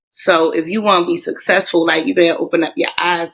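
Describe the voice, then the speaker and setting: A woman in a Baltimore accent, fairly low-pitched and animated, with very wide pitch swings and a fairly quick pace. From Baltimore, US. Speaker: teacher. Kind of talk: podcast interview. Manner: casual, animated.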